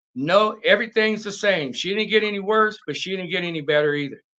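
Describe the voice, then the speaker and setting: Against a quiet background, a man speaks in a raised, projected voice. His high pitch carries a bright, sharp tone and lively intonation. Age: 60s. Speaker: martial arts gym owner and fitness instructor. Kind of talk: casual interview chat.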